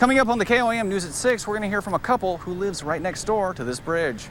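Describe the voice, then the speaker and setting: Lively intonation carries the speech over noticeable background noise. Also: man. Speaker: TV news reporter and anchor. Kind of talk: local TV news reporting and anchoring.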